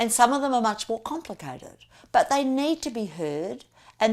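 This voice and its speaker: A woman with an Australian accent at a moderate pace, very wide pitch swings, on a very clean recording with a silent background. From Australia, Melbourne. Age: 60s. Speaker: political candidate. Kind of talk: campaign interview monologue.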